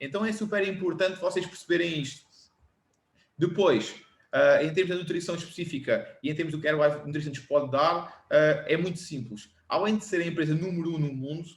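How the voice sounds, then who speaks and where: A man's high-pitched voice at a fairly quick pace, with audible room echo. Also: ordinary pitch variation. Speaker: personal trainer and former rugby player. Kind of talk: lecture. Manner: measured pace.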